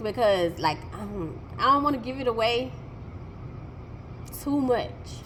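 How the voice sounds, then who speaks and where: An animated woman's voice at a fairly high pitch, with very wide pitch swings, noticeable background noise and audible room echo. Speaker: vlogger. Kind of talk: storytime vlog.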